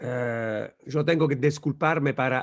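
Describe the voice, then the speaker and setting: A man speaks with an Italian accent. His intonation is fairly even. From Italy. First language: Italian (speaking Spanish). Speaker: law professor. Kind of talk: lecture. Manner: slow, searching for words.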